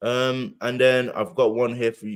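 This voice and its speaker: This man has a British accent. His pitch sits in the medium range. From UK. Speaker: podcast host. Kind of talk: casual chat. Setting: live stream.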